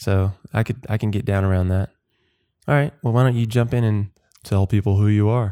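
In a very clean recording with a silent background and a dry, close sound with no echo, a man talks at a fairly quick pace in a fairly low pitch, his dark, mellow tone kept at very even loudness with fairly even intonation. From US South, Georgia (Watkinsville near Athens). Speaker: podcast co-host. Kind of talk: casual chat.

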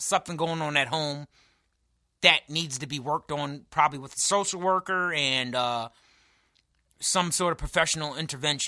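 An animated, bright, sharp male voice with an American accent, fairly high in pitch with ordinary pitch variation, at a moderate pace, dry and close with no echo on a very clean recording with a silent background. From New York. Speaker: podcast co-host. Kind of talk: casual chat, comedic banter. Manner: animated, joking.

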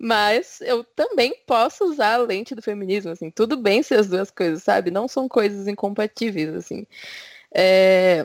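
With a plain, everyday voice, a woman speaks fairly slowly at a medium pitch with ordinary variation, in a dry, close sound with no echo. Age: 20s. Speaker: podcast co-host. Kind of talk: casual chat.

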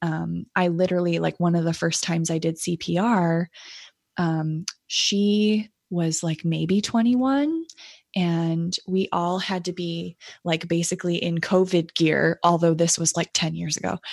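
Speaking with an American accent, a woman has an ordinary speaking voice with a fairly low pitch and fairly even intonation. She talks at a fairly slow pace against a quiet background. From United States. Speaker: nurse practitioner and podcast host. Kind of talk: casual interview.

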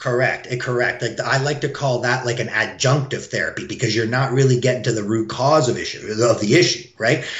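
A man talks at a fairly quick pace with hardly any pauses. Audible room echo can be heard. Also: medium pitch for a man, fairly even intonation. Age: 40s. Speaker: chiropractor. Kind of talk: interview.

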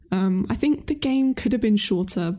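Against a quiet background, the speaker has a somewhat breathy voice with a dark, mellow tone, a moderate pace and ordinary pitch variation. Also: woman. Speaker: video game YouTuber. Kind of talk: casual podcast discussion.

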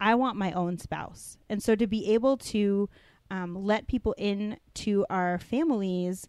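In a plain, everyday voice of medium pitch, a woman talks at a fairly slow pace with ordinary pitch variation on a very clean recording with a silent background. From Denver, Colorado, US. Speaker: youth pastor. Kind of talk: casual chat.

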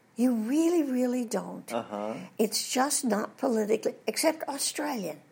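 A woman speaks in a high pitch with lively intonation. Her pace is moderate. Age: 80s+. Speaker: voice actress and former Disney reference model. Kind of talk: interview. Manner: animated.

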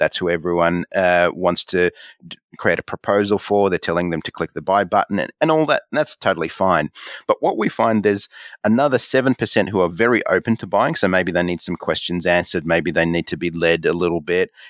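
Talking at a fairly quick pace, a man with an Australian accent has a very deep, low pitch. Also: ordinary pitch variation. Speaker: marketing coach and author. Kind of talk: interview. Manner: halting.

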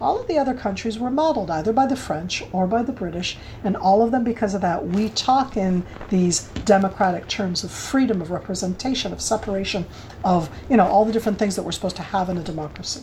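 A woman with an American accent speaks at a very fast pace, at a medium pitch with ordinary pitch variation. Noticeable background noise is present. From United States. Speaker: former military intelligence officer and government spokesperson. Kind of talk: interview.

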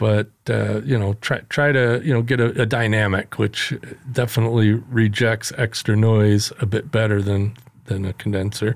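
A man with a plain, everyday voice speaks at a moderate pace and a fairly low pitch. His loudness stays very even, and his intonation is fairly even. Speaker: podcast host. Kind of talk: casual chat.

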